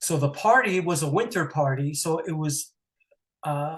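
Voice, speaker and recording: A man's fairly high, somewhat breathy voice at a fairly slow pace. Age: 60s. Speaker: retired mortgage banker, airport driver. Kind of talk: interview storytelling. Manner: halting, many fillers.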